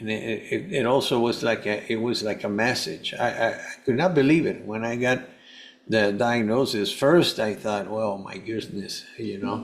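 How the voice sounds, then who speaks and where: With a Spanish accent, a man talks at a moderate pace and medium pitch with ordinary pitch variation, and the room echo is audible. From Venezuela. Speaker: health coach and cancer survivor. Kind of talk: podcast interview. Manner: halting, many false starts.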